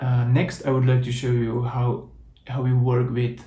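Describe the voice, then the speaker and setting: In a room with audible echo, a man with a Czech accent speaks at a fairly slow pace and medium pitch, somewhat breathy and dark, mellow in tone. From Czech Republic. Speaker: software developer, conference speaker. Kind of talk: tech talk with code demo.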